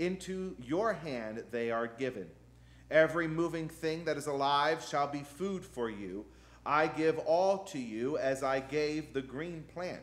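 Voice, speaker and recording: A man's speech moves fairly slowly, and his pitch rises and falls in an ordinary way. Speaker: pastor. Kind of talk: sermon scripture reading. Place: church. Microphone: podium.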